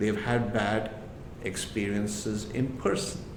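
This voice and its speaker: A fairly slow male voice amid audible room echo. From India. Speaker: entrepreneur and immigrant advocate. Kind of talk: podcast interview.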